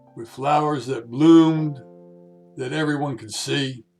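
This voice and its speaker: A man at a very slow pace with ordinary pitch variation, music playing in the background. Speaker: cowboy poet. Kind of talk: poetry reading.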